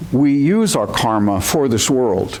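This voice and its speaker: Male speech marked by very wide pitch swings, with noticeable background noise and audible room echo. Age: 70s. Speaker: zen teacher. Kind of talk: dharma talk. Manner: halting.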